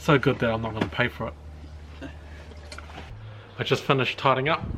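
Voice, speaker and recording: A man with a New Zealand accent speaks at a medium pitch. His pace is moderate and his intonation lively. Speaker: car project YouTuber. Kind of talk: casual vlog narration. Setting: outdoors, backyard carport.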